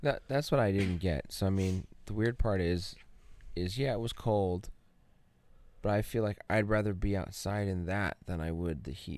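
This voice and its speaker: A man with an American accent uses a normal speaking voice, fairly low in pitch, at a moderate pace with ordinary pitch variation, on a very clean recording with a silent background. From Arizona. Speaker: podcast host. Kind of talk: casual chat.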